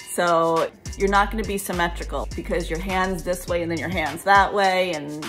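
Clear music plays in the background. The talking keeps a moderate pace. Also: woman. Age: 50s. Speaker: life and relationship coach; relationship coach. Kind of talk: casual talk to camera. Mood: amused, relaxed. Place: home room. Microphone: phone near.

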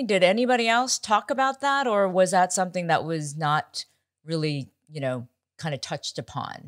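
A woman talks at a moderate pace with very wide pitch swings. The background is quiet. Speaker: podcast host. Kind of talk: casual chat and interview. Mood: curious, conversational. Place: home room.

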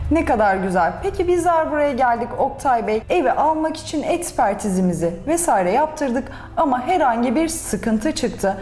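Over light background noise, a woman talks at a moderate pace with a high pitch and very wide pitch swings. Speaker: TV program interviewer. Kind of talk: interview. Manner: formal. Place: office. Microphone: lapel.

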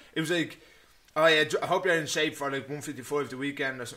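A man speaks with an Irish accent. He talks at a very fast pace. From Ireland. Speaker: MMA fighter. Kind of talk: casual chat. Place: home room. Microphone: studio mic.

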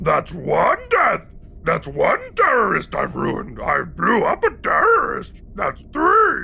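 A put-on character voice moves at a fairly slow pace. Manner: jokey, silly.

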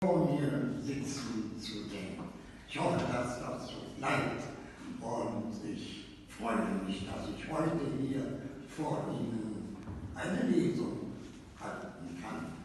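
Strong room echo and light background noise surround a man who speaks at a very slow pace with long, frequent pauses and lively intonation. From Berlin. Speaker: actor. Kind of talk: speech to a live reading audience. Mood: warm, lightly humorous. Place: hall. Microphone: camera far.

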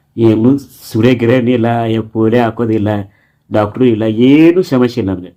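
Dark and mellow in tone, a man's voice sits at a medium pitch with ordinary pitch variation. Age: 30s. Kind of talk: personal vlog, life story. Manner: halting.

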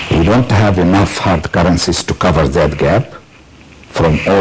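A man talks at a moderate pace with very even loudness and ordinary pitch variation. Light background noise is present. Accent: Arabic. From Egypt. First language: Arabic. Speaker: business leader; guest. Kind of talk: TV panel discussion. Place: studio.

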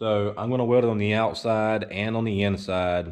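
The background is quiet as a man talks at a fairly slow pace. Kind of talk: casual vlog chat. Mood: defensive, dismissive of critics. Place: workshop. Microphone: phone near.

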